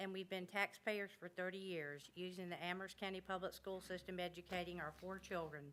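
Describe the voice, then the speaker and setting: A woman talks at a fairly quick pace. She has an ordinary speaking voice at medium pitch. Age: 60s. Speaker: member of the public. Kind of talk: public comment. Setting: public meeting room. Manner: informal.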